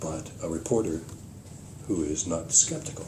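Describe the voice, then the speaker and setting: Very wide pitch swings in a man's speech, set in audible room echo. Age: 80s+. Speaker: retired journalist. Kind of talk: casual chat. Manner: halting.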